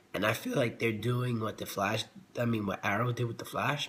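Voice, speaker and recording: The speaker is male. There is a somewhat breathy quality to his voice. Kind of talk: casual TV episode review to camera. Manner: subdued, low energy.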